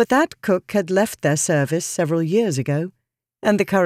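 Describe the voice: A quiet background behind plain reading aloud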